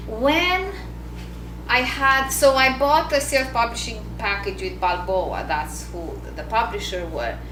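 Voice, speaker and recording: Speaking at a very slow pace with a non-native accent, a woman is heard through audible room echo and noticeable background noise. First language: not English. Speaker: author and business coach. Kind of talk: book launch talk to an audience.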